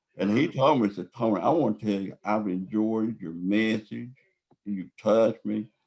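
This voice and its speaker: A man with a Southern US accent and a fairly low pitch. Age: 60s. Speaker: epilepsy advocate. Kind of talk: interview.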